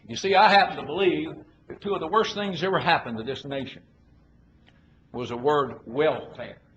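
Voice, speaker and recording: A man at a fairly quick pace with lively intonation, amid audible room echo and noticeable background noise. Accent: American. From Arkansas. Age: 70s. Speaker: politician. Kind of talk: political speech. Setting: conference with audience. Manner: folksy, emphatic.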